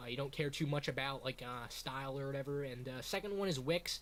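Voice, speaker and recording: A man talks in an animated tone at a fairly quick pace, with ordinary pitch variation. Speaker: YouTuber / streamer. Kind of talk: tutorial. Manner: loud; casual, animated.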